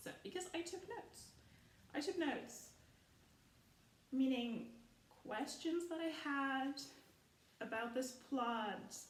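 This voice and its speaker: In a room with audible echo, a woman with a high pitch speaks at a very slow pace with lively intonation and long, frequent pauses. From Germany. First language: German. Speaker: film commentary youtuber. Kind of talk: casual rant video. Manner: animated.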